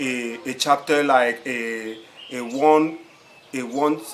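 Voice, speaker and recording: Speaking at a very slow pace, a man with a non-native accent keeps a medium pitch and fairly even intonation. Noticeable background noise runs underneath. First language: French. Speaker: writing coach. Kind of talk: tutorial. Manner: halting, with many repetitions.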